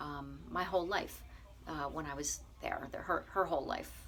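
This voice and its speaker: At a moderate pace, a woman's speech is heard with noticeable background noise. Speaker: bed and breakfast owner, vegan vlogger. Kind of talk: casual video diary. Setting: small enclosed room at night. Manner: soft-spoken; hesitant, many fillers.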